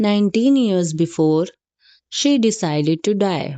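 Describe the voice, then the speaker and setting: With a non-native accent, the speaker has a calm, dark and mellow tone and lively intonation. The pace is very slow against a quiet background. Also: woman. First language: not English. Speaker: audiobook narrator. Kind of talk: reading aloud. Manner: halting.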